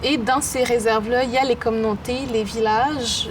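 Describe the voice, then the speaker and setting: Noticeable background noise is present. The talking is moderately paced, with fairly even intonation. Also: woman. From Quebec, Innu community of Pessamit then Baie-Comeau. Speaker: poet and artist. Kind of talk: interview.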